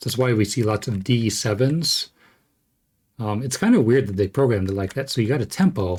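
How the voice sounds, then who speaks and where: A somewhat breathy man at a medium pitch with ordinary variation, on a very clean recording with a silent background. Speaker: game code analysis streamer. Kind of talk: live stream tutorial. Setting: live stream. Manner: halting with many fillers.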